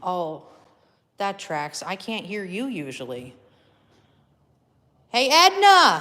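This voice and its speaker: At a very slow pace with long, frequent pauses, a woman speaks at medium pitch in a bright, sharp tone, her pitch swinging very widely and her loudness shifting greatly. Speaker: paranormal investigator. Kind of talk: live paranormal session, calling out to spirits. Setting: attic of an old building, live stream.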